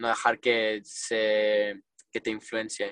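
A man speaking at a very slow pace, in a dry, close sound with no echo. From US, south Florida. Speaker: racing driver. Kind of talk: interview. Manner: halting, many fillers.

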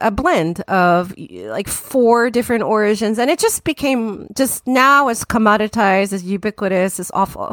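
With an American accent, a normal speaking voice talks at a moderate pace with ordinary pitch variation, the sound dry and close with no echo. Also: woman. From Tokyo, Japan (early childhood in New Jersey). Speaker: tea company founder. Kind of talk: casual interview. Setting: remote call.

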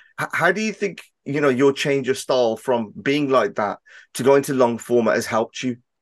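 With a Birmingham accent, a man speaks at a medium pitch with lively intonation. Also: quiet background. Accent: Birmingham English, noticeable. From Birmingham, England. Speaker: podcast host. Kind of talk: casual interview chat. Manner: fast talker, hesitant with fillers.

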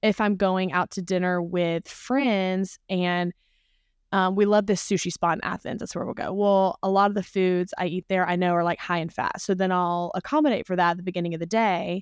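Heard in a very clean recording with a silent background and a dry, close sound with no echo, a woman with a Southern US accent talks at a moderate pace, medium pitch and fairly even intonation. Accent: Southern American. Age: 20s. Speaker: nutrition coaching client. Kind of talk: casual chat.

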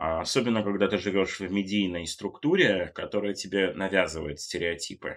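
At a moderate pace with hardly any pauses, a man speaks in a normal speaking voice, fairly low in pitch with ordinary pitch variation. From Germany and Great Britain (left Russia at six). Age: 30s. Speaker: fashion journalist. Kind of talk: casual interview chat.

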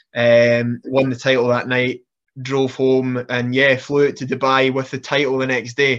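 Against a quiet background, a man with a Scottish accent talks at medium pitch and a moderate pace, his intonation monotone and flat. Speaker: professional wrestler. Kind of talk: casual interview chat.

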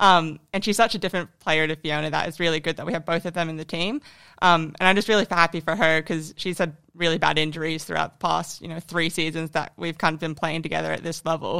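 Speaking at a very fast pace with an American accent, a woman has a bright, sharp tone, a fairly low pitch and fairly even intonation, in a very clean recording with a silent background. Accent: American-tinged Australian. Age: 20s. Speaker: professional footballer. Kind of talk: casual podcast interview.

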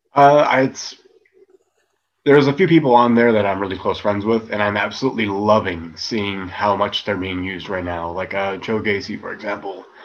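Speaking in a normal speaking voice, a man keeps a moderate pace and a fairly low pitch with ordinary pitch variation. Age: 30s. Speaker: professional wrestler. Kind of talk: casual interview.

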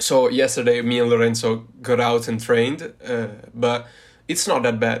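The speaker, in an Italian accent, keeps a moderate pace with fairly even intonation. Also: man, medium pitch for a man. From northern Italy, Turin. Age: 20s. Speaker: parkour athlete and engineering student. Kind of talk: casual chat. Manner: halting.

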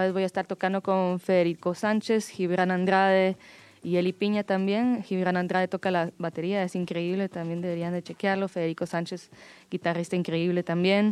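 On a very clean recording with a silent background and a dry, close sound with no echo, a woman speaks at medium pitch and a moderate pace in a flat monotone. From Guatemala. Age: 30s. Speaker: musician. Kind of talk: interview. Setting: studio.

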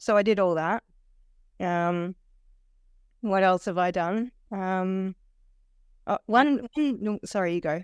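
A woman speaks at a very slow pace with long, frequent pauses, her pitch medium with ordinary variation. The recording is very clean and dry, close with no echo, on a silent background. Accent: Australian. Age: 40s. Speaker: weight loss program client. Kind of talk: interview, personal testimony. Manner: halting, many fillers and restarts.

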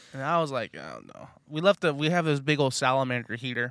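Fairly quick male voice with an American accent, medium pitch, ordinary pitch variation and a bright, sharp tone, on a very clean recording with a silent background. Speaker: podcast host. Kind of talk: casual chat. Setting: in a car. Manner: animated.

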